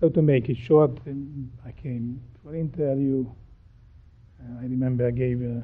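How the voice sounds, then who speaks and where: With a Hungarian accent, a man speaks at a medium pitch and a moderate pace. His intonation is monotone and flat. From Transylvania, Romania (Hungarian). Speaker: pharmaceutical scientist, professor. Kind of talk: interview. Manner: halting, with fillers.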